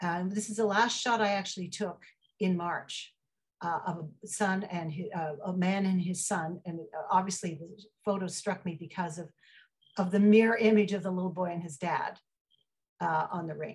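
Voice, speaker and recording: A somewhat breathy woman with fairly even intonation and long, frequent pauses against a quiet background. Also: moderate pace. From Ottawa, Canada; Canada. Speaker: photographer. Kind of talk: artist talk. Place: home room. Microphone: video call.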